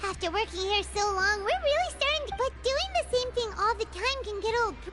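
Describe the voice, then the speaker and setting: A squeaky, female-sounding put-on character voice sits at an extremely high pitch and moves at a fairly quick pace. Clear music plays in the background. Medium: video game. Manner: refers to self in third person.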